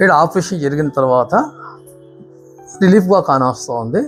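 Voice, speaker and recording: Speaking in an Andhra accent over music in the background, a man uses a fairly high pitch and lively intonation. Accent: Andhra Telugu. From Andhra Pradesh, India. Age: 60s. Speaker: knee surgery patient. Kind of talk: patient testimonial.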